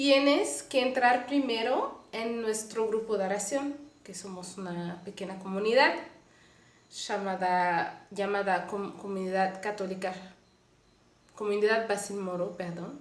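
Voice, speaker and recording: A woman with a Mexican accent at a medium pitch and fairly slow pace, with ordinary pitch variation, big swings in loudness, noticeable background noise and audible room echo. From Canada, Montreal. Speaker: lay missionary. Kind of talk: testimony. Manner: halting.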